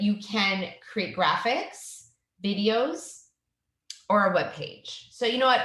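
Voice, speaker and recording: With a slight Canadian accent, a woman talks at a medium pitch amid audible room echo. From Canada. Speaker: educational technology trainer. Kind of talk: tutorial.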